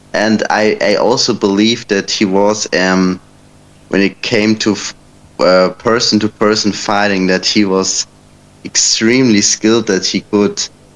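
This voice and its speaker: This man talks fairly slowly, his pitch fairly low and his intonation fairly even. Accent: German. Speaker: debate participant. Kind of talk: casual debate. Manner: halting, many fillers.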